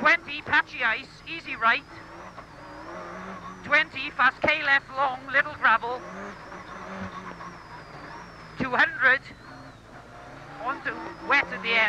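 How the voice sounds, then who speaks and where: Speech at a very slow pace comes through with a dry sound with no echo and noticeable background noise. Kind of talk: pace note calls. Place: car. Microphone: headset.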